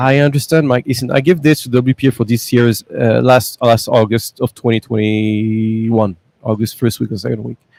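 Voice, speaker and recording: Showing a non-native accent, a man of medium pitch talks at a moderate pace with hardly any pauses. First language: not English. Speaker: business executive. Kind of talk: podcast interview. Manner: animated.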